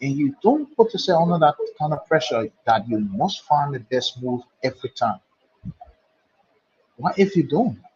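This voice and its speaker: This man has a Nigerian accent and a fairly high pitch, and his pitch swings very widely. He talks at a moderate pace with long, frequent pauses. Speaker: chess commentator. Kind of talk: live commentary.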